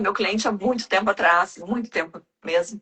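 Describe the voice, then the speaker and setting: At a moderate pace, a woman speaks in a medium pitch, an ordinary speaking voice. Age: 60s. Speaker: self-development mentor. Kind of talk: casual chat.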